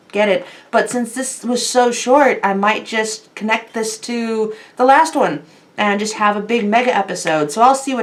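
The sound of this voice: Read aloud in an unforced reading voice.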